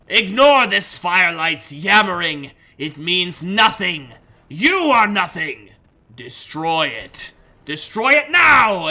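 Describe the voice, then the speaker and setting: Growling in a put-on character voice, the speaker uses a middle pitch at a fairly slow pace. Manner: growling, menacing.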